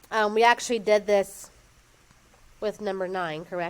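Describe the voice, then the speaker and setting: A woman talks in a normal speaking voice at a medium pitch. Her intonation stays fairly even. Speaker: math teacher. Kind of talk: classroom lesson. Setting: classroom with students.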